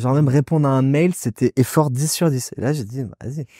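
Moderately paced, a man speaks at a medium pitch. The recording is very clean with a silent background. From Nice, southern France. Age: 30s. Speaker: entrepreneur, restaurant founder. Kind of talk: casual interview chat.

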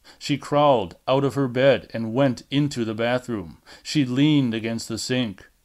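Simple, plain reading aloud

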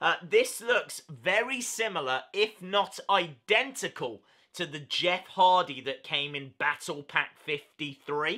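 A man's raised, projected voice with lively intonation at a very slow pace, against a quiet background. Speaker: toy collector channel host. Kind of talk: casual vlog chat, product news. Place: home room.

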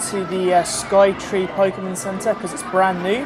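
Against noticeable background noise, the speaker uses a British accent at a moderate pace. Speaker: vlogger. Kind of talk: casual vlog narration. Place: shop. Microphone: phone near.

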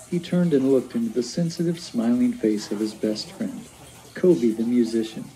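A text is being read aloud. The voice doing it is natural.

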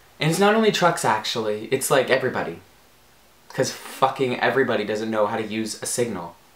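Audible room echo follows a man's speech. His pitch swings very widely. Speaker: comedy vlogger. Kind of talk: profanity-laced angry rant to camera. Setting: home video recording with soft box lighting. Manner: exasperated, swearing, rambling with filler ums; animated, bubbly and gushing. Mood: annoyed, animated ranting. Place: home room. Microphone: camera far.

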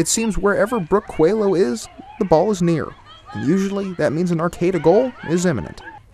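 Against noticeable background noise, a man speaks at a moderate pace in a high voice with ordinary pitch variation. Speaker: TV sports reporter. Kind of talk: scripted news narration.

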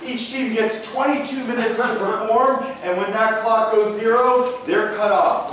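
The talking moves at a fairly slow pace. Strong echo fills the room, with light noise behind it. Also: man. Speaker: show host. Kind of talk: comedy show hosting to a live audience. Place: stage.

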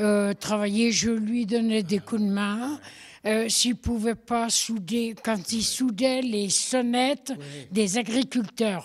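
At a very slow pace, a woman speaks in a fairly high voice with fairly even intonation and very even loudness. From France, Haute-Savoie (Thônes area). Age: 80s+. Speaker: retired farrier's wife. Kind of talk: casual interview. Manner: halting.

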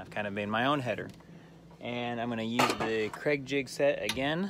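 A man is speaking, the sound dry with no echo. Noticeable background noise runs underneath. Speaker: diy vlogger. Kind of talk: casual vlog chat. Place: garden. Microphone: phone near.

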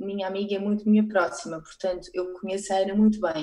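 A woman's dark, mellow tone comes through over a quiet background. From Portugal. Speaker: photographer; guest. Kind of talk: casual interview. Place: home room. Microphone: earbuds.

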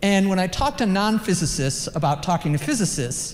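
With an unremarkable speaking voice, a woman talks at a moderate pace. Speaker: physics professor. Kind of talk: conference talk. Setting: conference session with audience.

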